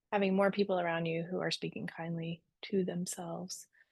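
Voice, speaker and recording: A woman speaks at a medium pitch in a relaxed tone with flat, monotone intonation. The background is quiet. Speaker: embodiment coach. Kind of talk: online workshop. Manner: slowed down, relaxed.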